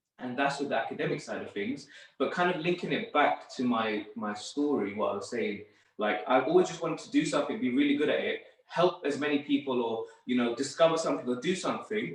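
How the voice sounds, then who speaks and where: A man with a London accent speaks with lively intonation. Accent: London English, multicultural. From northwest London. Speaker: sports therapist. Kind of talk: podcast interview. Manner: casual, hesitant with fillers.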